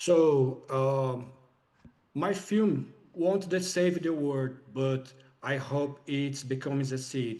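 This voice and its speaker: At a very slow pace, a man with a non-native accent and a fairly high pitch speaks with ordinary pitch variation. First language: not English. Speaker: filmmaker. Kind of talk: interview. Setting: video call. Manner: halting. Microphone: too quiet.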